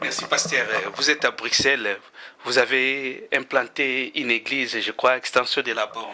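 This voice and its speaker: With a southern Congolese accent, a man speaks at medium pitch and a fairly slow pace in a monotone, flat intonation over noticeable background noise. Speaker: interviewer. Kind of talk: interview.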